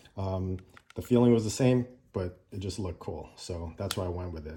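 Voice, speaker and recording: A man's dark, mellow voice sounds somewhat breathy and relaxed, with ordinary pitch variation. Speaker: gun owner reviewer. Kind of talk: casual talk to camera. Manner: relaxed, hesitant with fillers.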